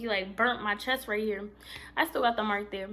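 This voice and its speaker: Her tone is animated. The woman talks at a very fast pace. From Puerto Rican heritage, US Northeast. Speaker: vlogger. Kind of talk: storytime vlog. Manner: loud.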